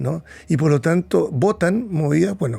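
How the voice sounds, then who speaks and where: His tone is dark and mellow, with a somewhat breathy quality. This man's pitch swings very widely. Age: 70s. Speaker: psychiatrist. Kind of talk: interview.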